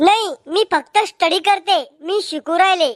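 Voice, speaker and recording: A cartoonish character voice speaks at a very slow pace with ordinary pitch variation. The sound is dry and close, with no echo. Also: woman, extremely high pitch for a woman. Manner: prim, self-assured.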